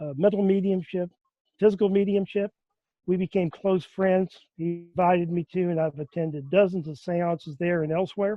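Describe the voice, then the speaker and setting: A high-pitched man with a Southern US accent, moderate pace and fairly even intonation. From US South, Memphis, Tennessee. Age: 60s. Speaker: seance attendee. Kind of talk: interview.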